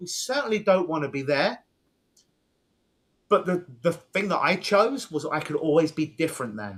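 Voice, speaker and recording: Speaking with a British accent, a man with a high pitch talks at a moderate pace. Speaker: hypnotist. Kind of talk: podcast interview.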